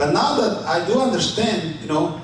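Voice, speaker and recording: A man with a Spanish accent talks at a fairly slow pace. Audible room echo and noticeable background noise fill the recording. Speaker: city council candidate. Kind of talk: candidate forum answer. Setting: banquet room forum with audience.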